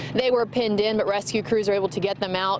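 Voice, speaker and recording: A medium-pitched woman at a very fast pace, fairly even intonation, and noticeable background noise. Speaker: TV news reporter and anchor. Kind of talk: field news report. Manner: dynamic, conversational.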